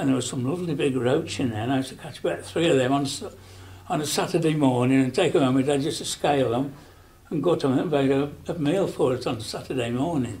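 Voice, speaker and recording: A man's fairly high voice at a very fast pace, with ordinary pitch variation. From Rugeley, Staffordshire. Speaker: elderly local resident recalling childhood. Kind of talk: oral history interview answer. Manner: casual, reminiscing. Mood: fond, nostalgic.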